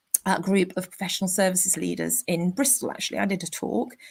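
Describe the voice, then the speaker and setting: Over a silent background in a very clean recording, a woman speaks at a medium pitch. Her pace is fairly quick, and her voice has vocal fry. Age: 50s. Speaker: career coach. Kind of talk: interview conversation.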